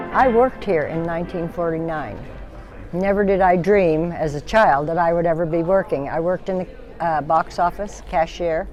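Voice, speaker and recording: Over music in the background and with audible room echo, a woman speaks at a moderate pace with fairly low pitch and ordinary pitch variation. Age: 70s. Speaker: former theater cashier. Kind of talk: reminiscing interview.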